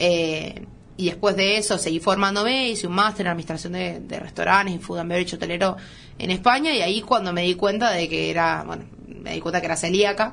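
Speaking at a fairly quick pace, a woman with a medium-pitched voice shows vocal fry. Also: ordinary pitch variation. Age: 20s. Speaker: chef and restaurant owner. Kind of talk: radio interview.

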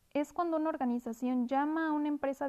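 A woman speaks fairly quickly with fairly even intonation and a dark, mellow tone. The sound is dry and close, with no echo. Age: 20s. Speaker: university student. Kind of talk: scripted school presentation. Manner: formal.

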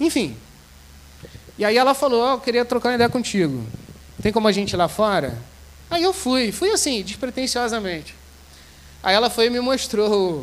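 A moderate tempo with lively intonation and long, frequent pauses throughout. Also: man, extremely high pitch for a man. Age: 30s. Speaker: seminarian and guest preacher. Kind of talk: sermon. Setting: church service with congregation.

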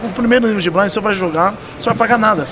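With audible room echo and noticeable background noise, a man talks with ordinary pitch variation. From São Paulo city, Brazil. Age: 40s. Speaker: poker tournament director. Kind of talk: casual interview chat.

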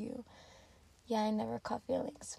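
Fairly quick, fairly high-pitched speech from a woman amid noticeable background noise. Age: 20s. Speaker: podcast host. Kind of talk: casual monologue.

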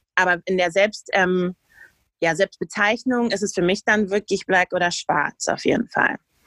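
Using an ordinary speaking voice, a woman talks with fairly even intonation. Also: medium pitch for a woman, dry, close sound with no echo. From Germany. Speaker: podcast co-host. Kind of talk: casual discussion.

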